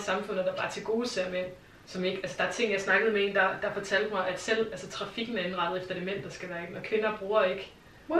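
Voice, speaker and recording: A woman at medium pitch talking very fast with fairly even intonation, plus audible room echo and noticeable background noise. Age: 30s. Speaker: television developer. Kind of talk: casual chat.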